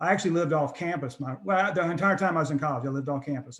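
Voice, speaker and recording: Somewhat breathy and very fast, the speech comes in an American accent. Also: man. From North Carolina, US South. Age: 60s. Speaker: addiction treatment center founder. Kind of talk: interview, personal testimony. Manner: hesitant, many fillers and restarts.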